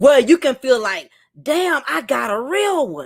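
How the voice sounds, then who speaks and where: The voice sounds animated, with very wide pitch swings. The recording is very clean with a silent background. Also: woman. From New York. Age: 40s. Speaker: YouTuber. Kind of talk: live chat monologue.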